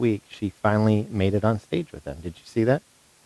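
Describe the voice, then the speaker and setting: A man's ordinary speaking voice, fairly low in pitch, with a dry, close sound and no echo. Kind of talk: casual chat; reading aloud.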